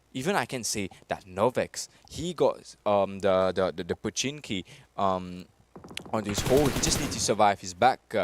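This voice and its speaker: This man speaks with a Mauritian accent at a fairly low pitch. The sound is dry and close, with no echo. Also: ordinary pitch variation, moderate pace. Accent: Mauritian, slightly French-sounding. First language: Mauritian Creole. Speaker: esports caster. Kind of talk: live commentary. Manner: animated.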